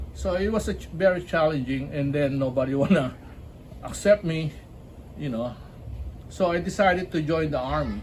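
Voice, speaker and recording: A man with a Filipino accent speaks at a fairly high pitch and a moderate pace, with ordinary pitch variation and long, frequent pauses. Audible room echo and noticeable background noise fill the recording. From Philippines, Cavite City. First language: Filipino (Tagalog). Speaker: army veteran, basketball league founder. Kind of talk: interview. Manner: casual, halting.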